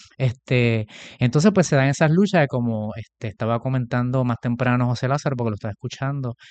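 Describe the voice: A man's medium-pitched, slightly mellow voice at a fairly quick pace, with ordinary pitch variation and a dry, close sound with no echo.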